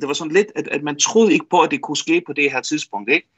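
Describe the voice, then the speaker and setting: The man's voice sits at a fairly high pitch. He talks at a fairly quick pace with lively intonation. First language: Faroese (speaking Danish). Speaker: football commentator and correspondent. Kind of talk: radio interview. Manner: halting, many fillers.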